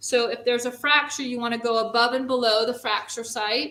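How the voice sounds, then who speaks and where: This woman speaks with a high pitch, fairly even intonation and a New York accent. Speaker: first responder. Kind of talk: training demonstration.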